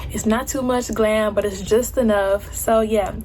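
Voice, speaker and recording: The speech has fairly even intonation, with noticeable background noise behind it. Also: woman. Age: 20s. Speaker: beauty vlogger. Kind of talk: casual vlog talk; makeup tutorial. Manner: casual; fast.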